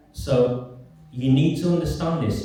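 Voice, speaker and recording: Male speech with ordinary pitch variation, set against noticeable background noise and audible room echo. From northern England, Oldham. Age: 50s. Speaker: campaigner and writer. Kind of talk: public talk. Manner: soft-spoken.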